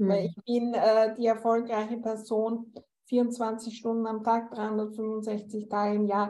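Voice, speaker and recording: Very slowly and in a flat monotone, a woman with a slight Viennese accent speaks at fairly high pitch. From Austria, Vienna. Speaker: interior space coach. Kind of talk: interview conversation.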